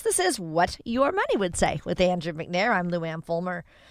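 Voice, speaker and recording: A woman with an unremarkable speaking voice, medium pitch and a moderate pace. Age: 60s. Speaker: radio host. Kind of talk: radio interview.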